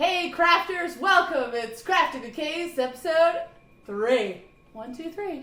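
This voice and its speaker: Extremely high-pitched and raised to project, a woman's voice moves at a very slow pace through audible room echo and noticeable background noise. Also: lively intonation, big swings in loudness. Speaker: podcast host. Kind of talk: casual chat. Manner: loud. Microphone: close to mic, others' mics far away.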